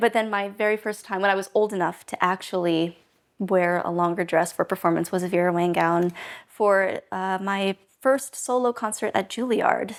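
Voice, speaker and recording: In a very clean recording with a silent background, a woman with an American accent uses an ordinary speaking voice at medium pitch, a moderate pace and fairly even intonation. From United States. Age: 20s. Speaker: classical violinist and film student. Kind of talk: documentary interview answer.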